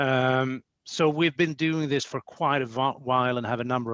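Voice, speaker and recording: With a Swedish accent, a man speaks at a fairly high pitch with ordinary pitch variation. The sound is dry and close, with no echo. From Sweden. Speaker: company executive. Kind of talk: podcast interview.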